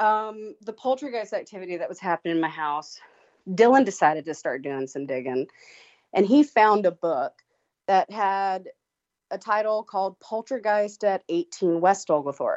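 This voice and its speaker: A woman talks at a moderate pace with lively intonation. It is an ordinary speaking voice at medium pitch. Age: 30s. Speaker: paranormal tour company owner. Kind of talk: casual chat.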